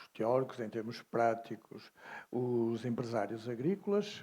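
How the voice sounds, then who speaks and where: A man's very slow speech in a dark, mellow tone. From mainland Portugal. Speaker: university professor, animal scientist. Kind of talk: interview. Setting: at a congress.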